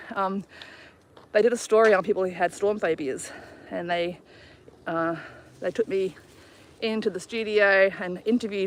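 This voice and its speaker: A woman speaks with an Australian accent. Her pitch sits in the medium range. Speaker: travel vlogger. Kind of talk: casual chat. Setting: outdoors. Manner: fast.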